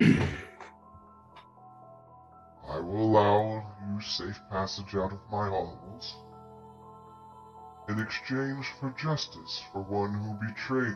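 A man puts on a booming character voice at a fairly slow pace. Clear music plays in the background. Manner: imperious, menacing.

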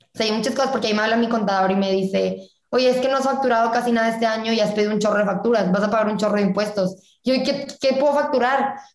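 Talking at a very fast pace, a woman with a fairly high pitch and fairly even intonation is heard with audible room echo. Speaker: student entrepreneur. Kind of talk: casual interview chat.

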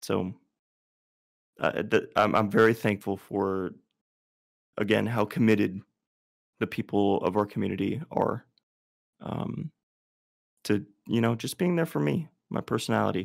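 Lively intonation with vocal fry and long, frequent pauses. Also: man, fairly low pitch for a man, moderate pace. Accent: American. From Texas, Houston area. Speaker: streamer. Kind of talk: interview. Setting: video call. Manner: halting.

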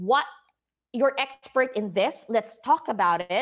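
Her pitch is fairly high for a woman. She speaks with lively intonation. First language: not English. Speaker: podcast host and design business owner. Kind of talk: casual interview chat. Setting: live video stream. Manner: animated.

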